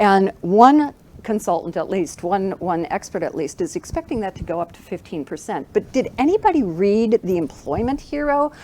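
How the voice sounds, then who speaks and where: A woman with a North American accent, fairly high in pitch, at a moderate pace, with very wide pitch swings, big swings in loudness and noticeable background noise. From United States. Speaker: keynote speaker. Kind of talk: keynote speech. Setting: stage with live audience and Zoom.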